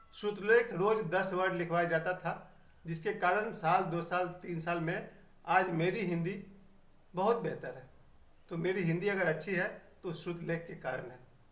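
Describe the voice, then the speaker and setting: A high-pitched man with fairly even intonation and audible room echo. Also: big swings in loudness. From Bihar, India (Chhapra district). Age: 50s. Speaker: YouTuber. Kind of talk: personal reminiscence monologue.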